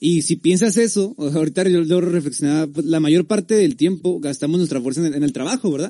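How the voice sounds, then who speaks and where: With a dark, mellow tone, the voice runs at a fairly quick pace with hardly any pauses and ordinary pitch variation. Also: man, high pitch for a man. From Tijuana, Mexico. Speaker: podcast host. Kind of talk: casual chat. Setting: live stream.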